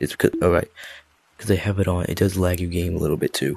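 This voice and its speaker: The sound is dry and close, with no echo. The voice is quiet. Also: man. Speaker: gaming video creator. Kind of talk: casual game mod review talk. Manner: quiet, low-volume, recorded at night.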